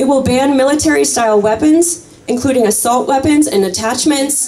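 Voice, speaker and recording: The speaker has an American accent and a passionate tone. The pace is moderate. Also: woman. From US Midwest. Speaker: gun violence prevention activist. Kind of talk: rally speech, rousing call to action. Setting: outdoor rally with crowd. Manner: passionate, urgent, crowd-pumping. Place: open country. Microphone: camera far.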